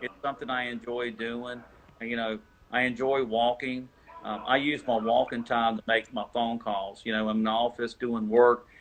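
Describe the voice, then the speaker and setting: Over noticeable background noise, a man speaks at a medium pitch and moderate pace in a monotone, flat intonation. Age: 60s. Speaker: basketball scouting service founder. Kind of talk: interview. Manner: halting.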